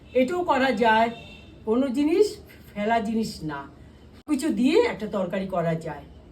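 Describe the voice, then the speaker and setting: A woman's fairly high voice with very wide pitch swings and big jumps in loudness, echoing audibly in the room. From Kolkata, India. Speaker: vlogger, home cook. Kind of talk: casual cooking vlog chat.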